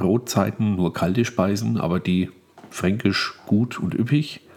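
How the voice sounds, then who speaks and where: A man talks at a fairly slow pace in an ordinary speaking voice. His pitch is fairly low, with ordinary variation. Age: 40s. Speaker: podcaster. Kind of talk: casual solo monologue.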